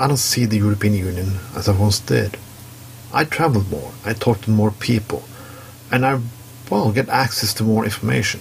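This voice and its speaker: A man with a fairly low pitch speaks at a fairly quick pace, with ordinary pitch variation and very even loudness. Long, frequent pauses break up his speech, and there is noticeable background noise. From Norway. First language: Norwegian. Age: 40s. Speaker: commentary segment contributor. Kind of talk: opinion monologue.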